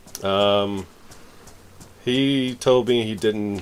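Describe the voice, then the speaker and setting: The speaker is a man with a fairly low pitch. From New York. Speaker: video game streamer. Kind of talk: casual gaming livestream chat.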